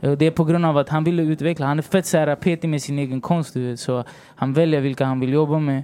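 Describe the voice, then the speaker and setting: Speaking very fast, a man with a fairly high, dark, mellow voice keeps his intonation fairly even. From Sweden, Rinkeby (Stockholm), Chilean family. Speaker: songwriter and rapper. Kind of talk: casual interview chat. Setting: hotel, recording studio-like podcast setup.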